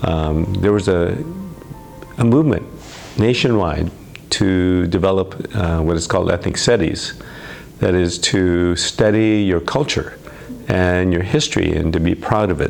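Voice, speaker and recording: A man with an American accent and a very deep, low pitch talks at a fairly slow pace with ordinary pitch variation and long, frequent pauses, over noticeable background noise. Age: 70s. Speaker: student group founder, law graduate. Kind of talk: interview testimony. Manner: halting, many fillers.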